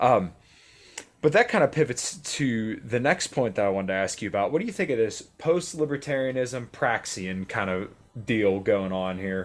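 In a very clean recording with a silent background, a man talks at a moderate pace in an ordinary speaking voice, his medium pitch carried by lively intonation. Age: 20s. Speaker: podcast host. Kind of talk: casual interview chat. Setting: home recording.

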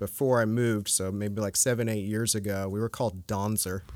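With an American accent, an ordinary speaking voice talks at a moderate pace with fairly even intonation. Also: man. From US, northern Virginia (Fairfax County). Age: 30s. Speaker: metal guitarist. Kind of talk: casual chat. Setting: storage unit.

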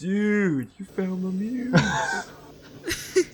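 The speaker uses a put-on character voice. It sits at a middle pitch. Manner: dramatic, wailing, excited.

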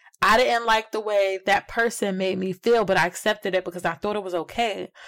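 Speaking at a fairly quick pace, a woman uses an ordinary speaking voice at a medium pitch with ordinary pitch variation. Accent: American. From New Jersey. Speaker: podcast host guest. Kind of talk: casual chat.

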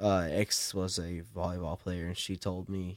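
With a Southern US accent, a man speaks on a very clean recording over a silent background. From South Carolina. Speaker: podcast guest. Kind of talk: casual chat.

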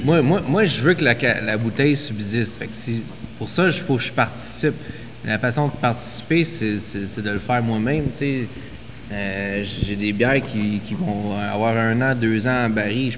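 Against noticeable background noise and audible room echo, a man speaks at a fairly slow pace in a medium pitch with ordinary pitch variation. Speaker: craft brewery and distillery co-owner. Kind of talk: casual chat.

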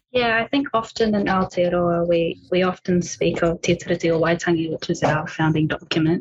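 With a New Zealand accent, a woman speaks at a fairly quick pace with hardly any pauses, fairly low pitch, ordinary pitch variation and very even loudness. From New Zealand, Māori. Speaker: PhD researcher in audiology. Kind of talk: panel discussion. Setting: video call from home.

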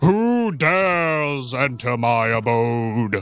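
A loud, booming, put-on character voice from a man at a very slow pace, over a quiet background. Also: medium pitch for a man. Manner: imposing.

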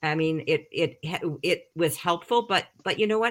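With lively intonation, a woman talks at a moderate pace. Hers is an unremarkable speaking voice. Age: 60s. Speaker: recovery coach. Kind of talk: casual chat. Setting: video call.

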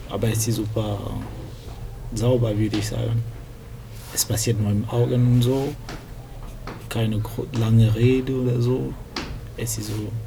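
A man at a moderate pace with long, frequent pauses, audible room echo, and noticeable background noise. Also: medium pitch for a man, fairly even intonation. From Cameroon, then Lyon, France from about age ten. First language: French (speaking German). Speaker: computer science student, language tandem partner. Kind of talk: casual chat. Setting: library. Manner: halting, searching for German words; whispering.

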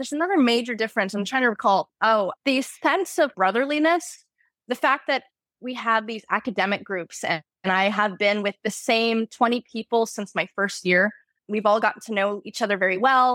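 A woman with a bright, sharp tone speaks at a moderate pace and fairly high pitch, with ordinary pitch variation. The sound is dry and close, with no echo, on a very clean recording with a silent background. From Florida, US South. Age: 20s. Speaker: university student. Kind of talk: interview.

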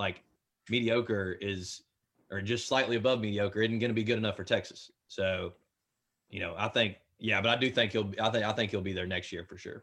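A man with a Memphis accent, fairly low in pitch, with fairly even intonation and a quiet background. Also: fairly quick pace. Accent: US Southern (Memphis). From Memphis, Tennessee. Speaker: podcaster. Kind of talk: casual chat.

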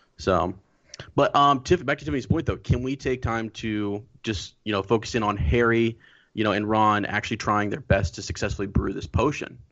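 At a moderate pace, a man with a plain, everyday voice talks in a fairly low pitch with ordinary pitch variation. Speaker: guest co-host. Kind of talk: casual chat. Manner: joking.

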